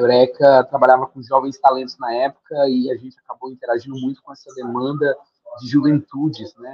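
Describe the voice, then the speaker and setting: With flat, monotone intonation and big swings in loudness, a man speaks fairly quickly at a medium pitch. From Brazil, Fortaleza, Ceará. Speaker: leadership program founder. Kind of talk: podcast interview.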